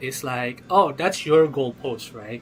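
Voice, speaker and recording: A man speaks in a non-native accent. Music plays behind him. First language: not English. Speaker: gaming livestreamer. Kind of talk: live stream chat about a game. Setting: live stream. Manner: casual, halting with repetitions.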